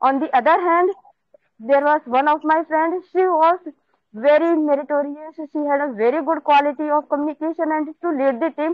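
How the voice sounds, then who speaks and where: A woman speaks at a moderate pace with high pitch and fairly even intonation. The background is quiet, and the sound is dry with no echo. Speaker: IELTS student. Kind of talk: practice speaking answers. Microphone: video call.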